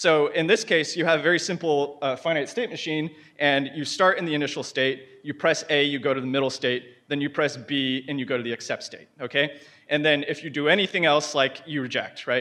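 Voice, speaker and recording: A bright, sharp tone marks this man's voice. He speaks rather quickly. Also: fairly high pitch for a man, ordinary pitch variation. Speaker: conference speaker. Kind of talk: conference talk. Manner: fast; animated.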